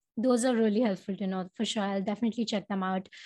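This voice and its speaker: Somewhat breathy, a woman speaks at a very fast pace with ordinary pitch variation over a quiet background. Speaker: podcast host. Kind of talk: casual interview. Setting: remote video call.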